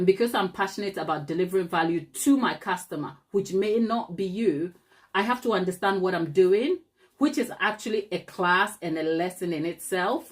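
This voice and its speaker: In a Ghanaian accent, a woman speaks in an animated tone with ordinary pitch variation. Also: medium pitch for a woman, moderate pace. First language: Ghanaian language (not English). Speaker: cake decorator and YouTuber. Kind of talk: live tutorial chat.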